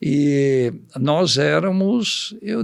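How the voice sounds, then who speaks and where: This man's voice is pitched fairly high. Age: 70s. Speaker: agronomist, seed company veteran. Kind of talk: podcast interview. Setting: studio.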